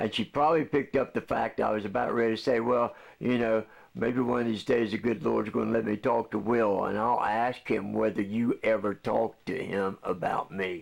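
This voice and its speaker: With vocal fry and fairly even intonation, a man speaks at medium pitch and a moderate pace. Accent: American. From West Virginia. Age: 70s. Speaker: Vietnam veteran video blogger. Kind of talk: monologue to camera.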